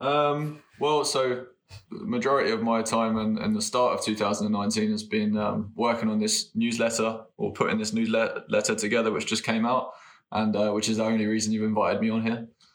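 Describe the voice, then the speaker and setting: This man has an English accent and a medium pitch. He talks at a moderate pace in a monotone, flat way. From England. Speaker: postdoctoral biologist. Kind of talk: casual chat.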